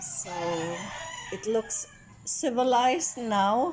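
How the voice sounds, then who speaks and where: Noticeable background noise sits behind a woman's voice. She talks at a very slow pace with lively intonation. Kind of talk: casual vlog talk to camera. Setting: outdoors, rooster noise in background. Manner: reflective, hesitant.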